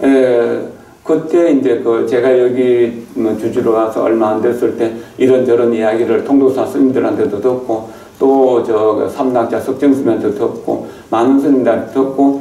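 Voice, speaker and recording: Over noticeable background noise and audible room echo, a man speaks at a fairly slow pace. His medium-pitched voice keeps a fairly even intonation and very even loudness. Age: 70s. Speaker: Buddhist monk, temple abbot. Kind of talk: dharma talk. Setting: temple hall. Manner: halting, with fillers.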